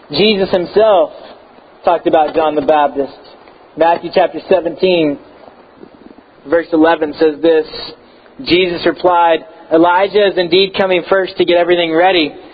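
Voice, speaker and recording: Against noticeable background noise, a man with an American accent speaks at a moderate pace in a high pitch, his intonation fairly even, his loudness very even, and his speech broken by long, frequent pauses. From Texas. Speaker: pastor. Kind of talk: sermon. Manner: hesitant, many fillers.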